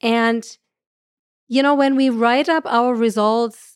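Fairly even intonation comes through in a German accent, with a dry, close sound and no echo. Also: woman. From Germany. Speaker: astrophysicist. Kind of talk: interview conversation.

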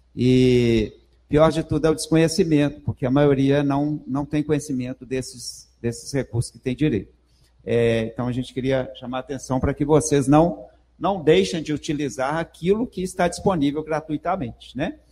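A man's fairly high, dark, mellow voice at a moderate pace, with ordinary pitch variation. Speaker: university professor, event moderator. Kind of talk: event introduction. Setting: stage with audience. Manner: halting.

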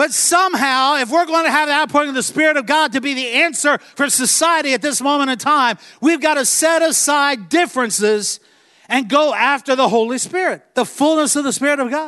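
In a raised, projected voice with an American accent, the speaker goes at a fairly quick pace with a bright, sharp tone and ordinary pitch variation. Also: man, extremely high pitch for a man. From Virginia, US. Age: 50s. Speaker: traveling preacher. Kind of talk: sermon. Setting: church.

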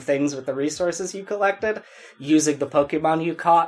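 A normal speaking voice at a fairly quick pace, with fairly even intonation. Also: man. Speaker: podcast host. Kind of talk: casual banter, comedic chat.

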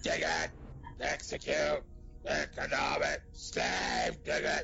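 In a put-on character voice, the speaker talks at a very slow pace against clear background noise. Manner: growly shouting.

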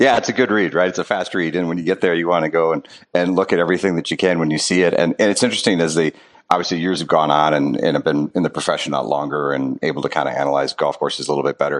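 A man with an American accent and a very deep, low pitch talks at a very fast pace with ordinary pitch variation over noticeable background noise. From Wisconsin. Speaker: golf course architect. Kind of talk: interview.

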